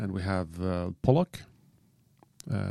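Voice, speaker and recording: In a Norwegian accent, a man speaks with lively intonation and a dark, mellow tone. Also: very clean recording, silent background. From Norway. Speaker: spearfisher podcast co-host. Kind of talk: casual chat. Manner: halting.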